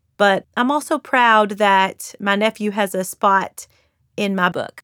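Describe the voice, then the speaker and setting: A woman with a slight Southern Kentucky accent talks at a medium pitch with fairly even intonation. The recording is very clean, with a silent background and a dry, close sound with no echo. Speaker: author and influencer. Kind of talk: interview monologue.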